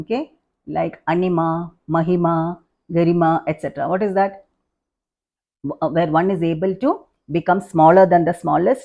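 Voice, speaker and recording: Against a quiet background, a woman with a dark, mellow tone talks at a moderate pace with fairly even intonation and long, frequent pauses. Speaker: spiritual teacher. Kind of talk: scripture lecture.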